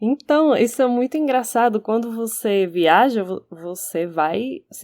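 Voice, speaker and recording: The woman's tone is dark and mellow. Her voice is heard close and dry, without echo. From Spain, Barcelona. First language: Catalan or Spanish (speaking Portuguese). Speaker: podcast co-host. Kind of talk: casual discussion.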